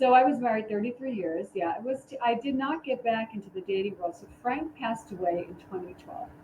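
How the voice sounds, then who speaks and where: Lively intonation marks this voice with an American accent. The pace is moderate, with noticeable background noise. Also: woman. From New York City (the Bronx). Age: 60s. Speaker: dating coach and wedding officiant. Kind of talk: casual chat.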